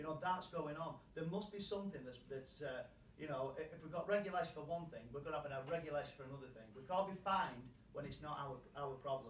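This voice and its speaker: A man talks very fast at a fairly high pitch with ordinary pitch variation, audible room echo and noticeable background noise. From UK. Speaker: anti-fracking campaigner. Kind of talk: public hearing statement. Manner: impassioned, repetitive.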